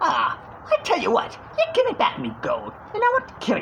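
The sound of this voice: A put-on character voice, extremely high, guttural and raspy, over clear background noise. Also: moderate pace.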